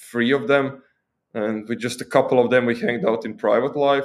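This man's voice sits at a medium pitch, with fairly even intonation. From Croatia. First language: Croatian. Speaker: tech content creator and software engineer. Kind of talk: casual interview.

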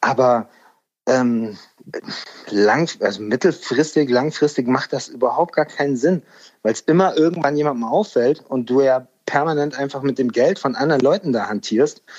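A normal speaking voice from a man, fairly high in pitch, with ordinary pitch variation and a moderate pace. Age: 40s. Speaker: music industry A&R manager. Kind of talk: casual interview chat. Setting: remote call.

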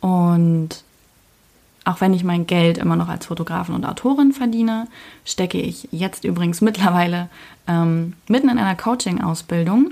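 Somewhat breathy and fairly low in pitch, this woman has a dark, mellow tone. She speaks at a moderate pace. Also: ordinary pitch variation. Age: 20s. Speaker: podcast host. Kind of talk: personal monologue. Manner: casual, with filler sounds.

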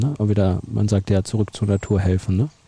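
Somewhat breathy, a man talks at a very fast pace. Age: younger than co-host. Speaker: podcast host. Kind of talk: casual chat. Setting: outdoors.

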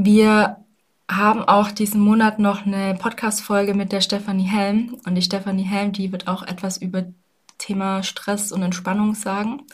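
Monotone, flat delivery from a somewhat breathy woman at medium pitch and a moderate pace. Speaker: health and wellbeing coach, podcast host. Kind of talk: solo podcast monologue. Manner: casual, many filler sounds.

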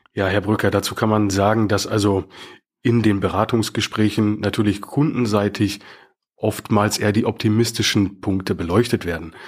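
A man with a plain, everyday voice speaks at a moderate pace in a fairly low pitch, with fairly even intonation and very even loudness. The recording is very clean, with a silent background. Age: 30s. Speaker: bank mortgage advisor. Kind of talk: casual interview.

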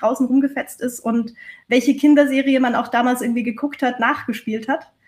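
A woman's high voice with fairly even intonation. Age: 30s. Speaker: change management consultant. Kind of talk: casual interview chat.

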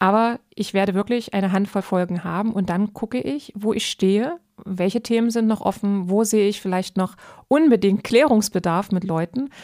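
A woman with a dark, mellow tone and medium pitch speaks at a moderate pace with ordinary pitch variation, her dry, close sound with no echo set against the silent background of a very clean recording. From eastern Germany. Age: 30s. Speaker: podcast host. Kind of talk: casual chat.

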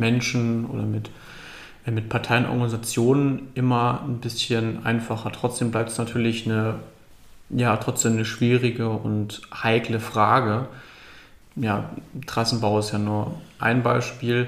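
The speech comes at a fairly slow pace with monotone, flat intonation and audible room echo. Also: man. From northern Germany, Lübeck. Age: young. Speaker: climate activist. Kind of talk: casual interview.

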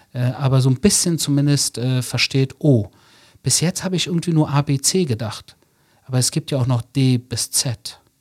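Somewhat breathy man at medium pitch, with ordinary pitch variation, in a dry, close sound with no echo. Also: moderate pace. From Germany, Berlin (Wedding). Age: 40s. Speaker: author. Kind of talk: interview. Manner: conversational, with fillers.

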